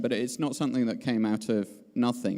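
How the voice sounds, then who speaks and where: With a British accent, a man talks at moderate speed. Behind him is a silent background in a very clean recording. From UK. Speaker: conference panelist. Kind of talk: panel talk. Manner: halting, many fillers.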